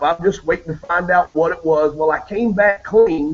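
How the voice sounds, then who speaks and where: The speaker has a Southern US accent and ordinary pitch variation. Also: man. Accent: southern drawl. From Maryland. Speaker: radio host. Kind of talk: casual chat. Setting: video call.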